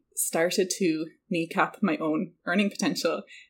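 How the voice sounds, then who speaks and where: The recording is very clean with a silent background as a woman talks with an Irish accent. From rural west of Ireland. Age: 30s. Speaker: entrepreneur. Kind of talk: casual interview.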